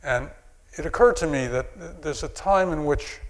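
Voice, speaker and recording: Amid audible room echo, a man talks at a moderate pace. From New York. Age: 60s. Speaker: psychiatrist and anthropologist lecturer. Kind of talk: audience Q&A answer; lecture. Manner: halting.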